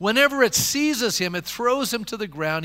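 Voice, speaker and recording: A bright, sharp, animated tone at a moderate pace, with very wide pitch swings. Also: man. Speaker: pastor. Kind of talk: sermon. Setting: church. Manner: animated, impassioned preacher building momentum; call-and-response, rhetorical questions to congregation.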